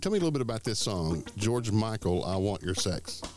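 Noticeable background noise sits behind a man's medium-pitched voice. His tone is upbeat, with lively intonation and a moderate pace. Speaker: music radio dj. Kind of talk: radio dj patter: back-announcing songs and station ids. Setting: studio. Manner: upbeat, breezy dj cadence rolling song names into station plugs; animated and chummy, jokes with co-host.

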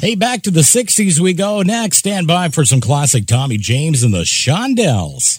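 A man with an upbeat, warm tone, very wide pitch swings and hardly any pauses. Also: fairly high pitch for a man, moderate pace. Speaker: radio DJ. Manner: upbeat, warm and energetic, smooth broadcaster delivery with a friendly, feel-good tone.

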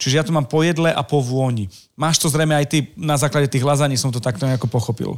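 On a very clean recording with a silent background, a man with a fairly high pitch talks at a very fast pace with very even loudness and ordinary pitch variation. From eastern Slovakia. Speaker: podcast host. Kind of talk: casual interview.

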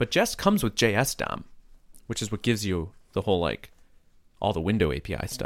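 Fairly low in pitch, a man rushes along at a very fast pace with ordinary pitch variation, yet leaves long, frequent pauses. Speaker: podcast co-host and programmer. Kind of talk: casual chat. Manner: goofy, animated.

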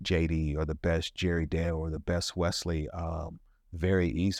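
A man talks fairly slowly in a dry, close recording with no echo, very clean and with a silent background. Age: 50s. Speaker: podcast host and minister. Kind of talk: show intro; casual chat.

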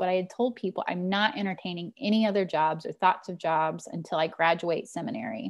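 Against a quiet background, a woman with a plain, everyday voice and an American accent talks at a moderate pace and a fairly low pitch. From Missouri, rural Ozarks. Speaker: pastor. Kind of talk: interview.

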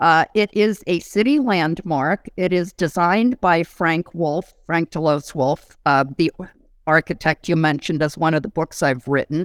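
A woman talks at a fairly slow pace in a fairly low pitch, her loudness very even. It is an unremarkable speaking voice, with a dry, close sound and no echo. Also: ordinary pitch variation. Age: 60s. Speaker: architectural historian. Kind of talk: casual chat.

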